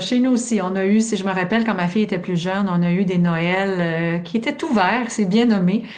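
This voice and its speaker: A woman with a Quebec accent talks at a moderate pace with hardly any pauses, her pitch medium and its variation ordinary. Audible room echo and noticeable background noise surround her voice. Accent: Québécois French. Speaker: sleep education expert, podcast host. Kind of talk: casual podcast chat.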